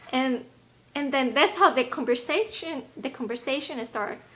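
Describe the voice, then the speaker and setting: The speaker has a Spanish accent and talks at a moderate pace. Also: woman. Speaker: health and lifestyle video blogger. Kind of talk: casual vlog talk. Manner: halting.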